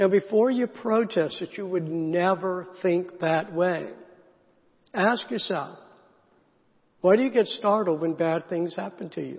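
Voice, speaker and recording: Speaking with a Southern US accent, a man with a high voice talks at a fairly slow pace with ordinary pitch variation and long, frequent pauses. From US South, South Carolina. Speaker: pastor. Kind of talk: sermon. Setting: church.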